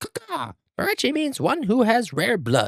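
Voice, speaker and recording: Put-on character voice from a man, extremely high in pitch, moderate in speed. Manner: playful imitation.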